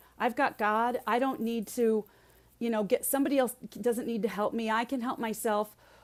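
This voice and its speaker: At a moderate pace, the speaker uses an unremarkable speaking voice with fairly even intonation, on a very clean recording with a silent background. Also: woman, fairly high pitch for a woman. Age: 60s. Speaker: resilience speaker and leadership coach. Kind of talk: podcast interview.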